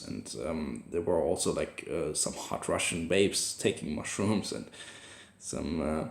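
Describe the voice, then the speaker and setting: Speaking at a fairly slow pace with an ordinary pitch variation, a man with a German accent is heard with audible room echo. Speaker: vlogger. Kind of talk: personal video journal. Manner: halting, many fillers and restarts.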